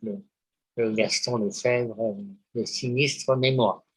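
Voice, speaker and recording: A man speaks at a very slow pace and a medium pitch. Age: 70s. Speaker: poet, publisher and psychoanalyst. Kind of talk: interview answer.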